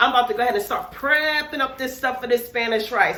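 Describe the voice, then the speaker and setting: A woman talks at a very fast pace in an animated, raised and projected voice, with audible room echo and noticeable background noise. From West Indian heritage. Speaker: cooking YouTuber. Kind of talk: casual cooking tutorial. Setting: home kitchen.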